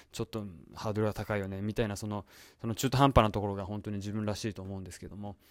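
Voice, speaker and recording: A man talks at a very fast pace with a fairly low pitch. The recording is very clean, with a silent background. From Japan. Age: 40s. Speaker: podcast host. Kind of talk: solo monologue. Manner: halting with many fillers.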